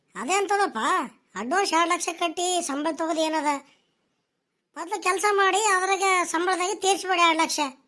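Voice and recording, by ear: In a cartoonish character voice, a woman speaks at an extremely high pitch with ordinary pitch variation. Her pace is moderate, and the recording is very clean with a silent background.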